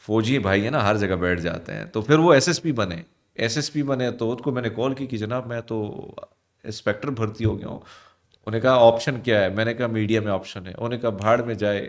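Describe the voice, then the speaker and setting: This man has a plain, everyday voice, pitched in the middle range, talking at a moderate pace with ordinary pitch variation. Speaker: news anchor and radio host. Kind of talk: interview. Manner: casual.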